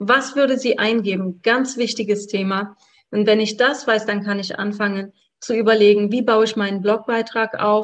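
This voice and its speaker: Fairly high-pitched, flat and monotone, a woman's voice. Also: moderate pace. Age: 40s. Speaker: blogging coach. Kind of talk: interview.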